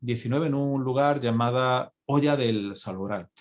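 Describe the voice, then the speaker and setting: A man speaks at a medium pitch. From Spain, not Andalusia. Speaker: physician and conference speaker. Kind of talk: conference lecture. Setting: congress talk. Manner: halting, many fillers and repetitions.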